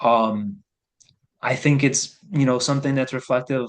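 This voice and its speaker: This man has an unremarkable speaking voice, medium in pitch, with fairly even intonation at a moderate pace. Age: middle-aged. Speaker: local activist interviewer. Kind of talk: casual interview.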